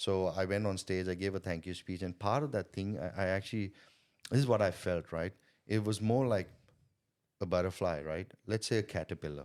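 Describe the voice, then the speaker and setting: Speaking with a non-native accent, a man uses a very deep, low pitch, ordinary pitch variation and a fairly quick pace on a very clean recording with a silent background. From India. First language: not English. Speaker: sales coach and entrepreneur. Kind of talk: podcast interview. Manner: repetitive, halting starts.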